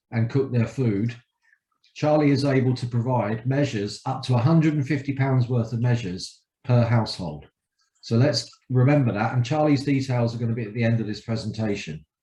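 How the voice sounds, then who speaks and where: A man's medium-pitched, somewhat breathy voice with a dark, mellow tone, ordinary pitch variation and a fairly quick pace. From London, England. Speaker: community energy charity representative. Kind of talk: public presentation. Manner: casual, joking.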